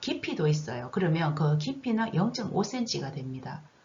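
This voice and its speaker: Audible room echo surrounds a woman speaking at a moderate pace. Her fairly low voice moves in very wide pitch swings. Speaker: nursing instructor. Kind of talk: recorded online lecture.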